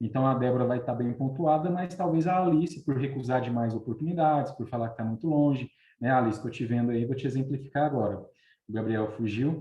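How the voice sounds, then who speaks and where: A man speaks at a fairly quick pace and medium pitch. His voice is somewhat breathy, with ordinary pitch variation. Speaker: recruitment consultant. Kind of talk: online webinar talk. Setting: live video stream. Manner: fast.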